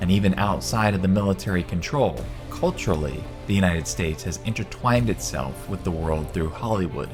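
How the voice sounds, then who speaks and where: A man with a very deep, low pitch talks at a fairly quick pace with lively intonation. Music plays in the background. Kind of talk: bible prophecy narration.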